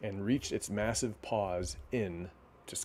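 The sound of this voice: Someone reads in an unforced reading voice, and the pitch varies in an ordinary way.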